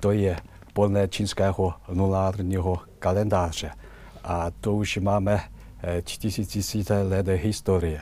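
A man's very deep, low voice with a Chinese accent, dark and mellow in tone, monotone and flat, at a very slow pace. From China. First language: Chinese (speaking Czech). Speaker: ambassador. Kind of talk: interview. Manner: halting.

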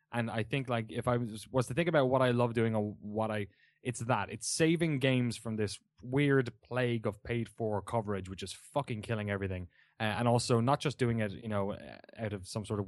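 Speech comes very fast in a southeastern Irish accent. The pitch varies in an ordinary way, and the background is quiet. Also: man. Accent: southeast Irish. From Ireland, Waterford (southeast). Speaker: video game journalist and show host. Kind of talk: casual chat. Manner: animated.

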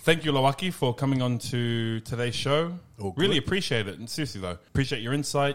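With an Australian accent, a man races along at a very fast pace, his medium-pitched voice full of lively intonation. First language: English; barely speaks Tongan. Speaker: podcast host. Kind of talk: casual chat.

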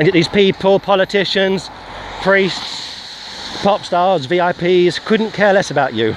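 A man with a high voice speaks at a fairly slow pace. Noticeable background noise runs underneath. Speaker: street preacher. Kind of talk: sermon. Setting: outdoors, walking.

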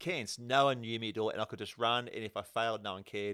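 A very fast-talking man with an Australian accent, fairly even intonation, and a bright, sharp tone, in a very clean recording with a silent background. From Australia, Penrith (western Sydney). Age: 40s. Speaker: amateur runner and triathlete. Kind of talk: casual chat. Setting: sharing one mic with host.

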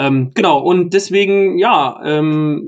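This man speaks at a high pitch with ordinary pitch variation. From Thuringia. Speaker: musician and music podcast co-host. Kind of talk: casual chat.

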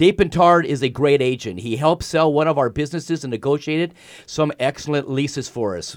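The recording is very clean, with a silent background. The speech moves at a fairly quick pace with ordinary pitch variation. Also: man. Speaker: fill-in radio host. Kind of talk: radio talk show interview. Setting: radio studio. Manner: animated, effusive.

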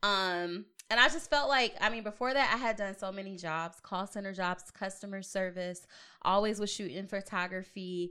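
In a very clean recording with a silent background, a woman with an American accent speaks at a medium pitch and moderate pace, in an animated tone that is bright and sharp, with ordinary pitch variation. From Long Beach, Los Angeles area, California. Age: 30s. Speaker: podcast host and entrepreneur. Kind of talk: casual chat. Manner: animated, frequent laughter.

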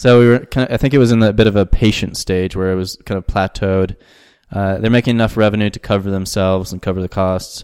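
A man talks very fast in a Southwestern US accent. His pitch is fairly low. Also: fairly even intonation, dry, close sound with no echo. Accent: American, Southwestern. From US Southwest, New Mexico. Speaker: startup managing director. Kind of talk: interview.

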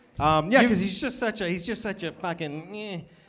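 Audible room echo surrounds a man speaking with lively intonation in a Boston accent. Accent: Boston American. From US, Boston area. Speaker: comedian. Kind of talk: live podcast chat. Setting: stage with audience.

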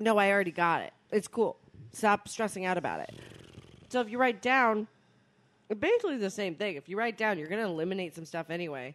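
In a normal speaking voice, a woman talks at a fairly quick pace and medium pitch, with lively intonation and big swings in loudness. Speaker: podcast co-host. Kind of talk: casual chat.

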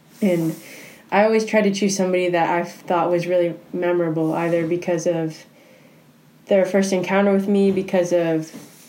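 Amid audible room echo, a woman talks at a moderate pace in a fairly low voice with monotone, flat intonation. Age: 20s. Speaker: university student and basketball player. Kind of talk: casual interview.

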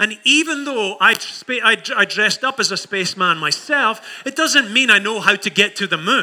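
A man's raised, projected voice in a Scottish accent, with lively intonation. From Scotland. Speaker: pastor. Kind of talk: sermon. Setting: church.

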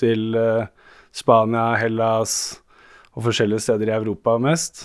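On a very clean recording with a silent background, a man speaks fairly slowly in a medium pitch. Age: 30s. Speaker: plumber with haemophilia. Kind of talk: interview.

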